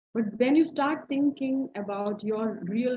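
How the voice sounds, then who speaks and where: A woman speaks with lively intonation and a somewhat breathy sound. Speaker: HR professional and psychology lecturer. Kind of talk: lecture.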